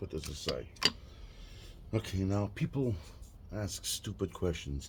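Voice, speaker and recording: Somewhat breathy and dark, mellow in tone, the voice moves at a fairly slow pace with lively intonation. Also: man. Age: 60s. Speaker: car hobbyist YouTuber. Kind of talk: tutorial. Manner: casual, halting with fillers.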